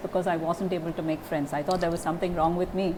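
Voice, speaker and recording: A woman speaks at a medium pitch. Background noise is noticeable. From India. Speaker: German teacher. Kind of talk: interview answer.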